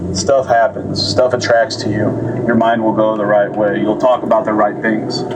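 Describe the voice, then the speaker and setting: A man with fairly even intonation, amid noticeable background noise. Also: medium pitch for a man. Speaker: podcast host. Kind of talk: casual monologue. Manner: halting; fast.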